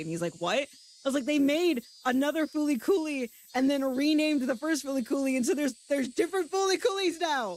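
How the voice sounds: A woman speaks at a fairly quick pace. Her voice carries vocal fry.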